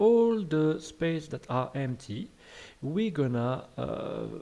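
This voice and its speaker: The voice is dark and mellow in tone, moving at a very slow pace with very wide pitch swings. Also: man. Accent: French. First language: French. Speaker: game development tutor. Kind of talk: tutorial. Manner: hesitant, many fillers.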